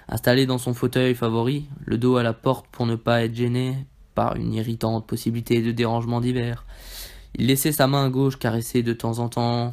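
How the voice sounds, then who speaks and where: A man speaks at a medium pitch in a monotone, flat intonation on a very clean recording with a silent background. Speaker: ASMR reader. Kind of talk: ASMR reading aloud of a short story, dramatic narration. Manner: soft, slow, hushed and intimate narration; dramatic, suspenseful, building tension toward the twist ending.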